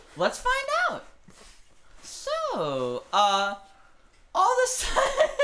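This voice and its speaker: A squeaky put-on character voice in a playful tone moves at a very slow pace with long, frequent pauses. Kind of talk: casual tabletop narration. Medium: actual play. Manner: giggly, playful, chatty.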